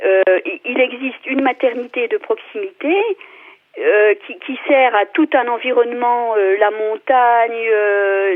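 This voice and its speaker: A high-pitched woman's voice in a passionate tone at a very slow pace, with noticeable background noise. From France, Vosges. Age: 50s. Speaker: local elected official. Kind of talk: radio debate. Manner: passionate, hesitant with many fillers.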